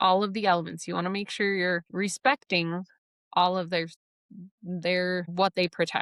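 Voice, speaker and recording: A woman with a Midwestern accent talks at a fairly slow pace with fairly even intonation, in a dry, close sound with no echo. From US Midwest. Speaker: podcast host. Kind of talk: casual podcast monologue. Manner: chatty, filler-heavy.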